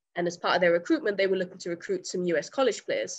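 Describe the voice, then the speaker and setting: A fairly low-pitched woman's voice with an English accent over a quiet background. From England. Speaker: college soccer player. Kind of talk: interview. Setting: remote call. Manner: halting, many fillers. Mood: friendly, smiling, relaxed. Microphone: webcam.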